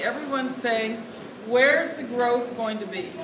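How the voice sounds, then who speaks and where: Audible room echo and noticeable background noise accompany a woman whose fairly high voice keeps fairly even intonation. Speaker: food activist, nonprofit leader. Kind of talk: speech at lobby event. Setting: event room, no microphone. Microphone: no microphone.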